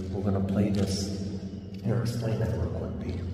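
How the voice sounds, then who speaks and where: Amid light background noise and audible room echo, a man speaks with a fairly low pitch and a monotone, flat intonation. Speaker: paranormal investigator vlogger. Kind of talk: casual vlog chat. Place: tunnel cave. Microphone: phone near.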